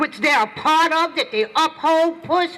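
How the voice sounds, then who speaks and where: A woman's raised, projected voice at an extremely high pitch, with noticeable background noise. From US, Philadelphia (North Philadelphia). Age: 60s. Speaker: community activist. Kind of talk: protest rally speech. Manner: impassioned.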